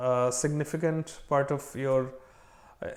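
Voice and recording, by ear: A slightly mellow tone at a moderate pace. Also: man.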